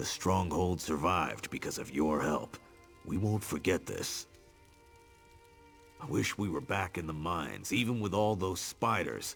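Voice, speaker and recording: Clear music plays behind a man doing a raspy, put-on character voice with a very deep, low pitch, a moderate pace and long, frequent pauses. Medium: video game.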